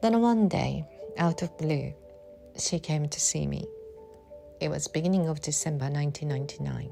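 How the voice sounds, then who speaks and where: A woman speaks at a moderate pace with a Japanese accent, leaving long, frequent pauses while music plays in the background. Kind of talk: personal memoir reading.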